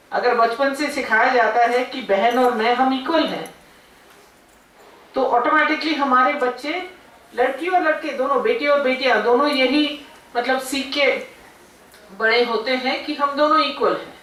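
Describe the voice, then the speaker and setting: In a room with audible echo and noticeable background noise, a woman talks in a high pitch with ordinary pitch variation. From South India. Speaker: guest speaker. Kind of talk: speech at college event. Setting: seminar hall with audience. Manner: unscripted, hesitant.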